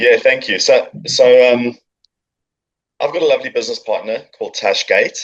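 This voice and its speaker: A man with a South African accent at a moderate pace, broken by long, frequent pauses. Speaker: marketing agency founder. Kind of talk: podcast interview.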